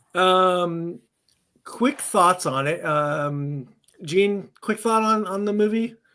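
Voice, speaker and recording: In a very clean recording with a silent background, a man with a high pitch and a bright, sharp tone speaks in a raised, projected voice at a very slow pace with ordinary pitch variation. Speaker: podcast co-host. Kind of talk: casual chat. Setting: live podcast.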